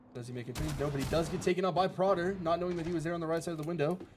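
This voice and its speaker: A man races along at a very fast pace while noticeable background noise plays. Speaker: esports caster. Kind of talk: live commentary; casual chat. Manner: casual, hesitant.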